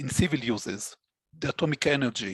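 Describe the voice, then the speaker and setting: Dry and close with no echo, a man's medium-pitched voice comes with an Israeli accent. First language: Hebrew. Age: 60s. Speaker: database administrator. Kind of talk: interview. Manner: halting.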